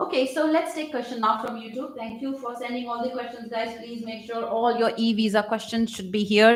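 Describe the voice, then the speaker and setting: In an Indian accent, a woman talks at a fairly quick pace with a fairly high pitch. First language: Hindi. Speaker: YouTube immigration advice host. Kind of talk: live Q&A stream.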